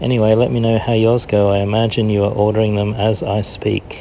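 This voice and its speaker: A man with an Australian accent speaks at a moderate pace. His intonation is monotone and flat, with noticeable background noise. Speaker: listener calling in. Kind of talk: voicemail message. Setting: recorded voicemail.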